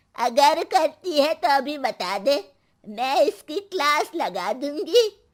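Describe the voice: Slowly and in a put-on character voice, a woman speaks at a high pitch with big pitch swings.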